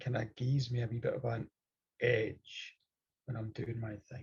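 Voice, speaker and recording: Somewhat breathy speech in a Scottish accent, delivered at a fairly slow pace. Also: man. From Scotland. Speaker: storyteller. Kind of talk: interview.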